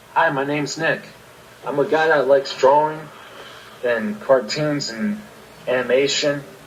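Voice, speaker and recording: A man with an American accent and a fairly high pitch talks at a moderate pace with ordinary pitch variation and long, frequent pauses, amid noticeable background noise and audible room echo. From Maryland, US. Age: 20s. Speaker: podcast co-host. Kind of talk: casual chat.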